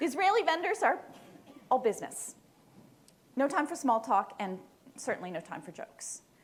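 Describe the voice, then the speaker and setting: The voice moves at a fairly quick pace, with very wide pitch swings, big swings in loudness, and long, frequent pauses, over noticeable background noise. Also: woman, high pitch for a woman. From Canada. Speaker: librarian. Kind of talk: conference presentation.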